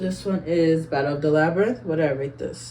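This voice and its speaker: Over noticeable background noise, a woman with a very deep, low pitch speaks in an upbeat tone. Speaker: book YouTuber. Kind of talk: casual talk to camera. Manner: casual, upbeat.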